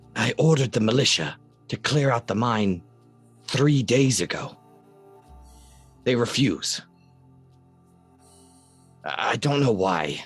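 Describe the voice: A man speaks in a put-on character voice at medium pitch and a fairly slow pace. He leaves long, frequent pauses while faint music plays in the background.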